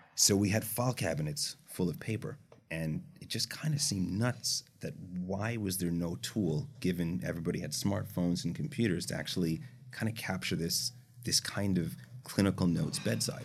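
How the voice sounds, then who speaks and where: A man with a Canadian accent, fairly low in pitch with vocal fry and very wide pitch swings, at a moderate pace. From Canada. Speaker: startup founder and CEO. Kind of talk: casual interview chat.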